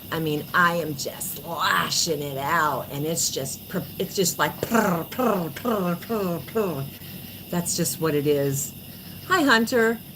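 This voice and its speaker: A woman with an American accent and a fairly low pitch, very slow pace and lively intonation, amid audible room echo and noticeable background noise. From New York (born New Jersey). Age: 40s. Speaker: livestreamer. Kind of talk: casual livestream chat. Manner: animated.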